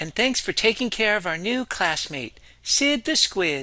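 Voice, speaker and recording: A man's put-on character voice, high-pitched and at a moderate pace, in a very clean recording with a silent background. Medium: read story. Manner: gentle, patient.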